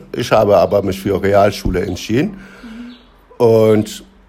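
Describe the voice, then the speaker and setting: A man speaks very slowly in a fairly low voice with a dark, mellow tone and a Turkish accent. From Turkey. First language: Turkish (speaking German). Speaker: interviewee. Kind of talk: casual interview.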